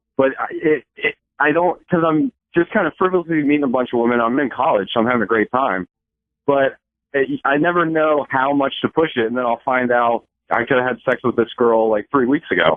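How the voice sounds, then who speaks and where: The pace here is fairly quick. It is an ordinary speaking voice, and its pitch varies in an ordinary way. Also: man, fairly high pitch for a man. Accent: American. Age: 20s. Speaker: caller, college student. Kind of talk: casual chat. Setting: phone call.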